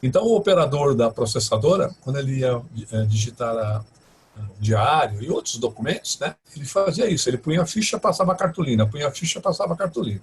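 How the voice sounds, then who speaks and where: Somewhat breathy and fairly high in pitch, a man talks at a fairly quick pace with very wide pitch swings. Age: 60s. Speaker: professor and IT professional. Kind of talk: interview, personal career story. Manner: halting, many fillers and restarts.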